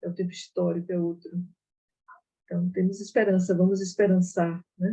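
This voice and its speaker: A woman speaks at a moderate pace in a medium pitch, her somewhat breathy voice dark and mellow, with a flat, monotone delivery. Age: 70s. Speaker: retired nutrition professor. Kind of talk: online talk discussion.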